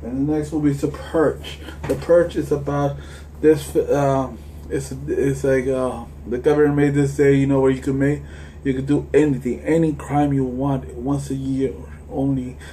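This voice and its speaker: Audible room echo and noticeable background noise around a man talking at a moderate pace. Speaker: movie collector vlogger. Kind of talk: casual movie collection review. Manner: halting, many restarts.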